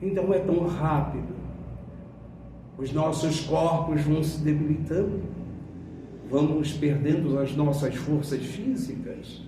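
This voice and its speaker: Speaking at a very slow pace with long, frequent pauses, a man uses a fairly high pitch and ordinary pitch variation amid audible room echo. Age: 70s. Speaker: spiritist lecturer. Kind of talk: sermon. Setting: spiritist centre.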